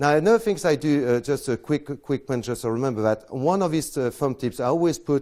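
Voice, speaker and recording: In a dark, mellow tone and a fairly high pitch, a man talks at a fairly quick pace with lively intonation and hardly any pauses, on a very clean recording with a silent background. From France. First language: French. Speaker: close-up magician. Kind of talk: lecture. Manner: halting.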